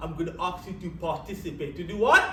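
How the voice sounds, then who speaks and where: Amid noticeable background noise and audible room echo, a man speaks in an animated tone at a high pitch. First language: French Creole. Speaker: public speaking coach. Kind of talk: workshop. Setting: stage with audience.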